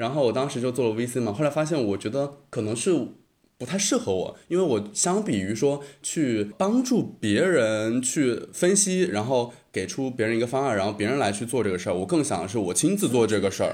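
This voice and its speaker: A man's voice with very wide pitch swings, in a very clean recording against a silent background. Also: medium pitch for a man, fairly quick pace. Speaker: graduate student and podcaster. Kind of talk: casual chat. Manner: hesitant, many fillers.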